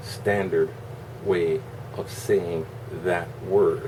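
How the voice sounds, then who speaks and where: A man talks over noticeable background noise. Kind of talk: casual talk to camera. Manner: casual, slightly combative rant.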